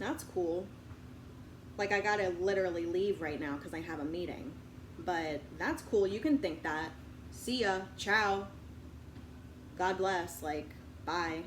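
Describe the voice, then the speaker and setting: A woman speaks at a fairly slow pace with long, frequent pauses. Her pitch variation is ordinary, and audible room echo surrounds her. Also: medium pitch for a woman. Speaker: video blogger. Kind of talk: casual monologue. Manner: loud; animated.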